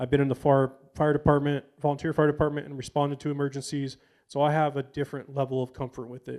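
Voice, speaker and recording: A man talks at a very fast pace. His intonation stays flat and monotone while his loudness swings widely. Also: fairly high pitch for a man. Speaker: substance use prevention presenter. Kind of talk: community talk presentation.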